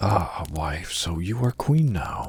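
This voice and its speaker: His pitch sits very deep and low. The man is doing a put-on character voice. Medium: read story. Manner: timid, hesitant.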